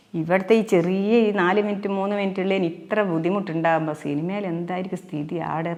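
A normal speaking voice from a woman, with medium pitch and ordinary pitch variation. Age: 60s. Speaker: actress and social media video creator. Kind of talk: interview.

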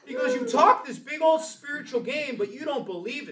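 A man speaks very fast in a raised, projected, animated voice. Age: 40s. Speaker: Sunday school teacher. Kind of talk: Bible class teaching. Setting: church. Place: classroom. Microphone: camera far.

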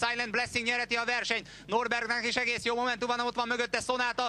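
A raised, projected voice at a very fast pace, animated in tone, over noticeable background noise. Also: man. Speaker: racecourse commentator. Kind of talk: live race commentary, horse race call. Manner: fast, rhythmic, rising excitement toward the finish; animated, steady stream of names and positions.

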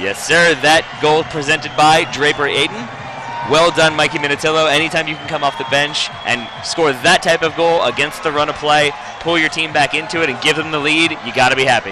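A man's fairly quick, fairly high-pitched speech comes with noticeable background noise. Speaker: soccer co-commentator. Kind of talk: live match commentary over highlights. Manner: animated, enthusiastic; analytical, conversational.

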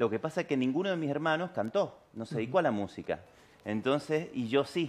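Lively intonation and a fairly high pitch mark a man's speech. He talks at a very fast pace. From Argentina, San Juan; Argentina. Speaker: tango singer; interviewee. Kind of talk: interview. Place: studio.

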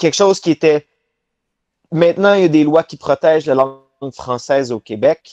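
This man has a fairly high pitch and ordinary pitch variation, talking at a moderate pace with long, frequent pauses. The sound is dry with no echo, and the background is quiet. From Quebec, Laval near Montreal; Quebec. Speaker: professional wrestler; interview guest. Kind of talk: interview. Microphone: video call.

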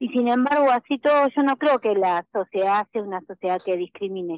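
A woman's medium-pitched voice at a moderate pace, with ordinary pitch variation and a dry sound free of echo. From Argentina. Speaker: special education teacher and speaker; special education teacher, speaker. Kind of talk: interview. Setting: remote call-in. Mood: earnest, committed. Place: studio.

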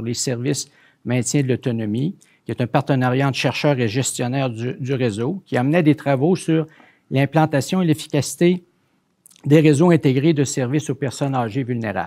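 A man talks at a fairly quick pace with a dark, mellow tone and ordinary pitch variation. The background is quiet. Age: 60s. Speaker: research centre director and interviewer; interview host. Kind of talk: interview; interview introduction and conversation. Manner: repetitive stammering. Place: studio. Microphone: lapel.

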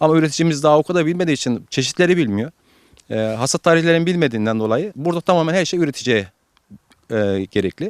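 The sound is dry and close with no echo. A man with a fairly high pitch and lively intonation speaks at a very fast pace. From Turkey, Alanya. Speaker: avocado nursery owner. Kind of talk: interview. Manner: hesitant with many fillers.

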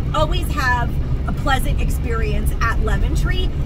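Over loud background noise, a woman speaks at a fairly slow pace in a dry sound with no echo. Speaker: shopping vlogger. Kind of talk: casual vlog chat. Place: car. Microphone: phone near.

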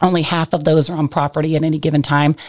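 A woman with an American accent and a very deep, low pitch, flat and monotone at a very fast pace, over a quiet background. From Kansas. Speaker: equine reproduction center manager. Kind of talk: interview. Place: studio. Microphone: studio mic.

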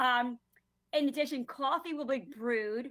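Bright and sharp in tone, a woman talks with a Long Island accent. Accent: New York (Long Island). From Long Island, New York. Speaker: planning and zoning commissioner. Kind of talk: public hearing questioning. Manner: hesitant, many fillers.

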